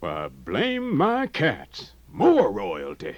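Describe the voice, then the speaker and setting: A man puts on a character voice in a Southern US accent. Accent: Southern rural dialect. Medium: audio drama. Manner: wide-eyed, exclaiming.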